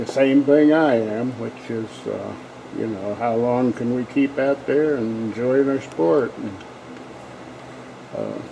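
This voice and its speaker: Very slowly, a man talks with long, frequent pauses at a medium pitch and ordinary pitch variation. Noticeable background noise is present. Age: 60s. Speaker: strength coach. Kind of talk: tutorial. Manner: casual.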